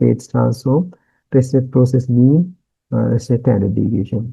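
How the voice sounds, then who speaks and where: The man's voice is somewhat breathy, with a dark, mellow tone. His pitch is medium. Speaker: university lecturer. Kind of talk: lecture. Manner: hesitant, many fillers.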